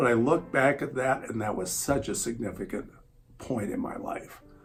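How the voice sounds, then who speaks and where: Noticeable background noise runs under this man's voice as he keeps a moderate speed. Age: 60s. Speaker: churchgoer sharing faith story. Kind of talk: personal testimony. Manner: hesitant, many fillers.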